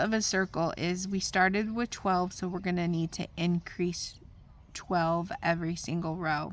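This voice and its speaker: This woman has an unremarkable speaking voice of medium pitch. She talks fairly slowly with fairly even intonation. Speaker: crochet teacher. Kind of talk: tutorial.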